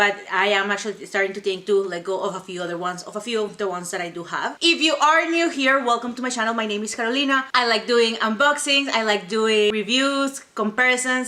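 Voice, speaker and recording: Over noticeable background noise, a woman with a non-native accent talks very fast with hardly any pauses, her fairly high voice moving in lively intonation. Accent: foreign. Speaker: YouTuber doing handbag unboxings and reviews. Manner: fast talker.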